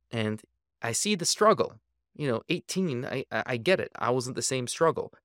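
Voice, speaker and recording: A man with an American accent and an unremarkable speaking voice talks at a medium pitch with lively intonation, on a very clean recording with a silent background. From Minnesota, St. Paul. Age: 40s. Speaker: dentist and powerlifter. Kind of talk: casual chat.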